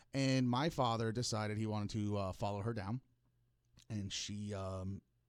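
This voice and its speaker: A man with a New York accent at a fairly low pitch, fairly even intonation and a moderate pace, with long, frequent pauses, on a very clean recording with a silent background. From Florida (Hollywood, FL). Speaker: podcast host. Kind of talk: casual monologue, personal storytelling. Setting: podcast studio. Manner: halting, repeats words.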